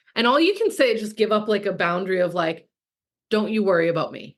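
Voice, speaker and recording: Her tone is animated, with ordinary pitch variation at a medium pitch for a woman. She speaks at a very fast pace. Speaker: business coach. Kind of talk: live masterclass.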